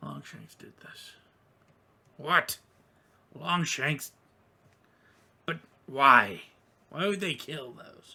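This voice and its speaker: A man puts on a raspy character voice at a fairly high pitch. He talks very slowly, with long, frequent pauses. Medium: actual play.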